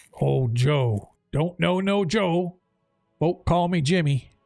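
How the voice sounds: Using a gruff put-on character voice, a man speaks very slowly at a high pitch with lively intonation.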